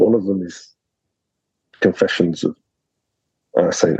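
With a southern English accent, a man speaks at a moderate pace in a dry, close sound with no echo. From southern England. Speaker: academic researcher. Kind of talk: interview.

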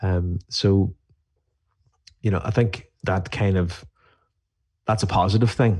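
A man with an Irish accent and a fairly low pitch speaks at a very slow pace in a somewhat breathy voice, his intonation fairly even and his pauses long and frequent, over a quiet background. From Ireland. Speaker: beer writer. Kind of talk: casual interview.

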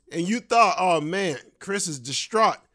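A loud man with a high pitch talks over music in the background. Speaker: stand-up comedian and podcast host. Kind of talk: casual chat. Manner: animated.

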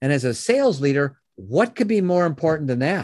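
The speaker has a Chicago accent and very wide pitch swings. The background is quiet. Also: man. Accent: Chicago American. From US Midwest, Chicago. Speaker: business founder and educator. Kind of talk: interview.

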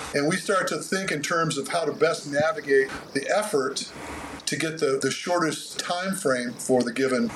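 This man's pitch sits fairly high. Noticeable background noise runs behind him. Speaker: running coach. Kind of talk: casual interview, explanatory. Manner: talkative, uses analogies, jokey.

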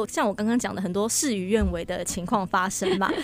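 This woman keeps a fairly quick pace, with noticeable background noise in the recording. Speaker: church administrator and event emcee. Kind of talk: radio interview.

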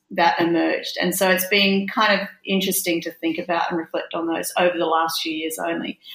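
Speaking at a moderate pace in an Australian accent, a woman uses a medium pitch. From Australia, Brisbane (Queensland). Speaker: youth organisation CEO. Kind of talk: casual chat.

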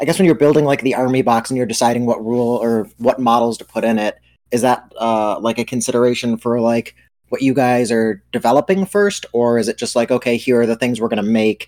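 Medium-pitched male speech, a normal speaking voice, quick-ish delivery and pitch that rises and falls in the usual way. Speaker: podcast co-host. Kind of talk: casual chat.

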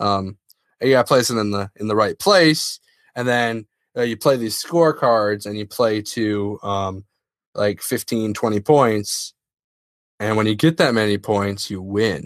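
A man with a normal speaking voice and fairly low pitch talks at a fairly slow pace with ordinary pitch variation in a very clean recording over a silent background. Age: young. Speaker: podcast co-host. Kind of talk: casual chat.

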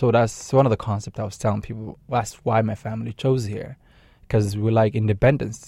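This man has a dark, mellow tone and a fairly low pitch. He speaks with a Somali accent. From Somalia. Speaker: nonprofit director. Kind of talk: radio interview. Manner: halting, many fillers and repetitions.

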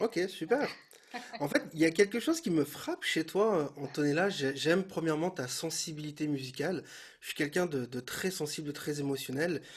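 With ordinary pitch variation, a man speaks at a moderate pace in a fairly high pitch. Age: younger than guest. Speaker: podcast host and bass teacher. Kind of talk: casual interview. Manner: hesitant, repeats words.

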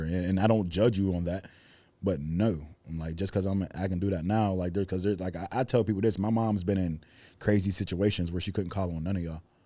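A man talks at a very fast pace with a very deep, low pitch, a dark, mellow tone and fairly even intonation. The recording is very clean with a silent background. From Pittsburgh, north side. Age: 30s. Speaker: rapper. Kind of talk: casual interview chat. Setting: studio.

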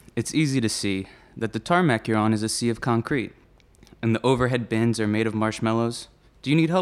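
Someone is doing plain reading aloud. The pitch rises and falls only in ordinary ways.

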